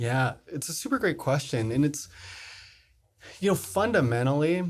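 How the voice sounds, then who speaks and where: A man's fairly high, somewhat breathy voice with an American accent, lively intonation and a moderate pace. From US East Coast, South Jersey. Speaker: tech company founder and CEO. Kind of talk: interview.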